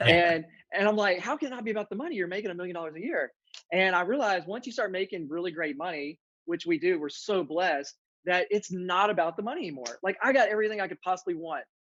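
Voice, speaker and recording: A man talks at a very fast pace in a Southern US accent. His high-pitched voice has lively intonation. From central Louisiana. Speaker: real estate agent. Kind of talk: podcast interview. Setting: office conference room.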